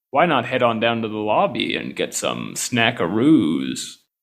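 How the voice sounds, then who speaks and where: Here a man puts on a character voice. He holds a medium pitch at a moderate pace. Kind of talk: put-on announcer voice. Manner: upbeat, salesy.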